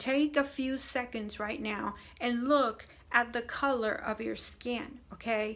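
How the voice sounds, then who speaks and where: Her tone is bright and sharp, with fairly high pitch. This woman keeps her intonation fairly even. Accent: Spanish. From Puerto Rican background. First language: Spanish. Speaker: video blogger on faith. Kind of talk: casual monologue to camera. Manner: hesitant with many fillers.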